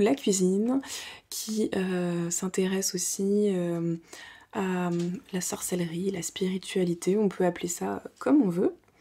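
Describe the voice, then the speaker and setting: Speaking at a very slow pace, a woman uses fairly even intonation and a dark, mellow tone. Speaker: home vlogger. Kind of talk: casual vlog chat. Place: home room.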